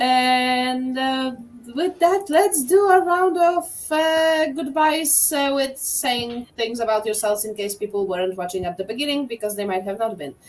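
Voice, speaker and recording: A woman's high voice at a fairly slow pace with very wide pitch swings, hardly any pauses, and music in the background. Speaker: game master. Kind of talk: casual chat.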